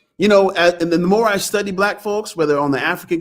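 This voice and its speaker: In an American accent, the speaker has an animated tone with ordinary pitch variation. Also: man. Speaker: history lecturer, livestream host. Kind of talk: lecture. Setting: livestream.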